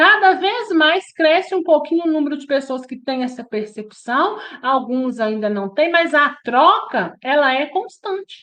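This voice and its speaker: With a Minas Gerais accent, a woman talks with hardly any pauses, in a high pitch with very wide pitch swings and a bright, sharp tone. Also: fairly slow pace. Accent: Minas Gerais Brazilian Portuguese. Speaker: spiritist study group leader. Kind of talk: religious study lecture. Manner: conversational, with frequent tag questions.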